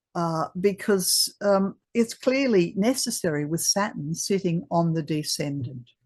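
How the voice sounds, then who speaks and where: The voice is somewhat breathy, with lively intonation, moving at a fairly slow pace with hardly any pauses. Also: woman, medium pitch for a woman. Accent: Australian. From Australia. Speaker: astrologer. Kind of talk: presentation. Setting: video call. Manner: halting.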